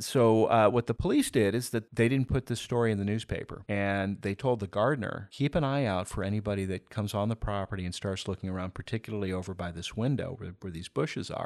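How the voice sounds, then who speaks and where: Talking at a very fast pace with an American accent, a man sounds dry and close with no echo in a very clean recording with a silent background. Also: fairly low pitch for a man, ordinary pitch variation, hardly any pauses. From US South, Miami. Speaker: historian and podcaster. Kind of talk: casual interview. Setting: in person interview.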